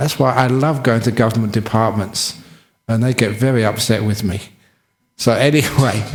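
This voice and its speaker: A man talks at a moderate pace in a medium pitch. His voice is somewhat breathy, with fairly even intonation. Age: 60s. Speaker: Buddhist monk. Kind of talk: dharma talk.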